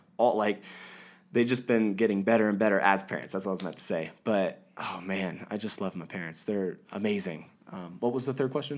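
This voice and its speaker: With an American accent, a man talks at a fairly quick pace and fairly low pitch, using ordinary pitch variation. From US, various states. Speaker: Bible college student. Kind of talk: testimony. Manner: halting, many fillers.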